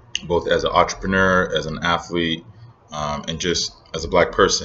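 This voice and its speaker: The speaker talks at a fairly slow pace. The accent is American. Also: man. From Northern Nigeria. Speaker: vlogger and entrepreneur. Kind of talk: casual vlog monologue. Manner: hesitant, many fillers.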